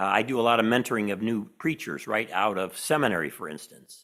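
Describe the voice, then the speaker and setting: A man with a Chicago accent talks at a moderate pace on a very clean recording with a silent background. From Chicago, US Midwest. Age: old. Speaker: professor and author. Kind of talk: interview conversation.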